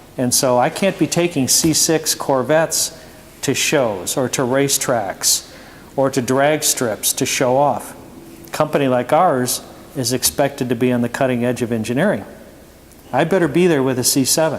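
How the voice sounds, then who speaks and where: A man with an American accent speaks in a normal speaking voice at a medium pitch. His pace is moderate and his pitch variation ordinary. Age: 60s. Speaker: performance car company owner. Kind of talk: Q&A presentation to students. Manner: conversational, many fillers.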